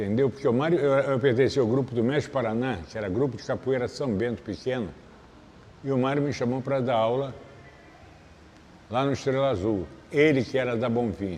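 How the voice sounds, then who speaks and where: Though his pace is fairly quick, a man at medium pitch leaves long, frequent pauses, with ordinary pitch variation. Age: 60s. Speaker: capoeira master. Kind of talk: interview.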